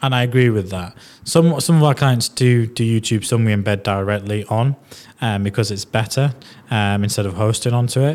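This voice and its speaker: A man with a Yorkshire accent at a fairly quick pace, medium pitch and ordinary pitch variation. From northern England. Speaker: podcast host. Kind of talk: casual interview chat.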